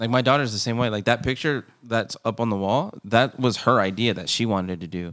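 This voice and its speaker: With an unremarkable speaking voice, a man at medium pitch talks at a fairly quick pace with hardly any pauses, recorded very cleanly against a silent background. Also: ordinary pitch variation. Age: 30s. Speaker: podcast host. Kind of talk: casual chat.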